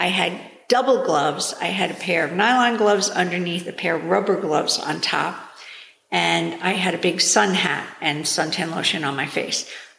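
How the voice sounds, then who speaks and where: Against noticeable background noise, a woman with an American accent and a fairly low voice speaks at a moderate pace with lively intonation. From New York. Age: 60s. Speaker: gardener, host's mother. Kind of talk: casual interview. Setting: in person on a couch at home.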